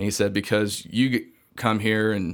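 A man speaks at a moderate pace with a Southern US accent and monotone, flat intonation. The recording is very clean, with a silent background. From US South, Georgia. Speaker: missionary and seminary student. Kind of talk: casual interview chat.

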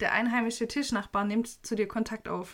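Over a very clean recording with a silent background, a woman with a Swabian accent speaks at a fairly high pitch. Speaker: podcast host. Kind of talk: casual chat.

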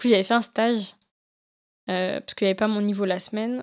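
A woman speaks at a medium pitch and a fairly quick pace. The recording is very clean, with a silent background. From France, Lyon. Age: 20s. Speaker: environmental field worker and photographer. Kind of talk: casual chat.

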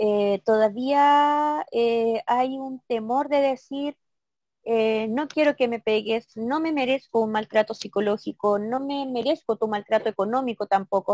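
This woman's voice sits at a fairly high pitch with ordinary pitch variation. She speaks at a fairly slow pace. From Chile, Santiago (Maipú), then southern Chile from age 15. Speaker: former council candidate, local activist. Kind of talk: interview. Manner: halting, many repetitions and fillers.

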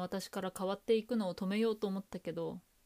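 A woman of medium pitch speaks at a moderate pace with fairly even intonation. The recording is very clean, with a silent background. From Japan. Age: 30s. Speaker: podcast host. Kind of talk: personal storytelling monologue.

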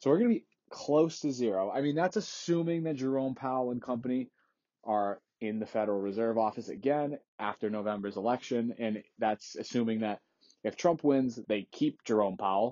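An unremarkable speaking voice from a man, at medium pitch and moderate pace, with ordinary pitch variation. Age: 20s. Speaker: finance podcast host. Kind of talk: solo market commentary podcast. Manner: casual, conversational with fillers.

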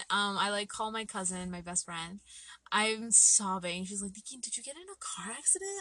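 A woman speaks at a medium pitch and a moderate pace, her tone bright, sharp and animated. Her pitch varies in an ordinary way. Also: big swings in loudness. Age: 20s. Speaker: photographer and multimedia artist. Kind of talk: casual chat.

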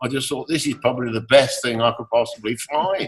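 A medium-pitched man with an English accent. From England. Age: 60s. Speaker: composer and lyricist, former rock keyboardist. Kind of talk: interview. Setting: remote call.

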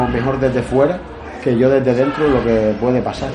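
A man's medium-pitched voice at a moderate pace with fairly even intonation, along with audible room echo and noticeable background noise. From Galicia, Spain. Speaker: MMA fighter. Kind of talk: interview.

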